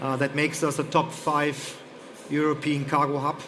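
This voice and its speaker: Man with a German accent at a fairly high pitch, moderate pace, audible room echo and noticeable background noise. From Germany. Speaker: airport executive. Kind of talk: panel discussion. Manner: hesitant, many fillers.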